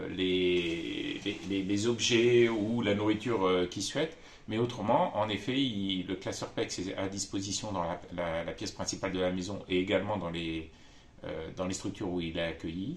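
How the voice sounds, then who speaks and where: A man talks at a moderate pace. His pitch is fairly low, with ordinary pitch variation. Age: 50s. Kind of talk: testimony. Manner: halting, many hesitations.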